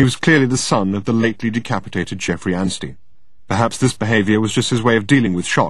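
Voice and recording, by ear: Ordinary pitch variation runs through this reading aloud in a natural voice.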